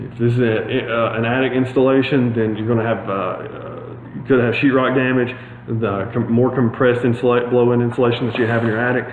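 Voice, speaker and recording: Amid audible room echo and noticeable background noise, a man of medium pitch talks at a fairly quick pace with monotone, flat intonation. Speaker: HVAC installer giving DIY tips. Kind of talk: tutorial. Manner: fast.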